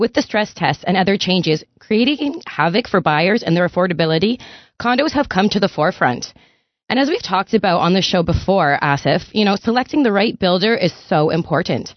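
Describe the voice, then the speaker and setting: Using an ordinary speaking voice, a woman at a medium pitch talks at a fairly quick pace with lively intonation and very even loudness. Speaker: real estate agent, condo specialist. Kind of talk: radio interview, conversational.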